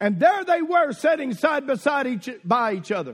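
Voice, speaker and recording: Very wide pitch swings in a Southern US accent. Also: man. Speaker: visiting preacher. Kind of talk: sermon. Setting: church with congregation. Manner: humorous, exhorting the congregation.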